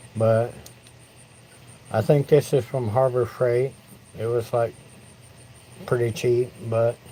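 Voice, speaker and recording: An American accent at a fairly slow pace. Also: man. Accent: Southern US redneck accent, moderate. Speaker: woodturning livestreamer. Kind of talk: casual livestream chat. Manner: halting, repeats words.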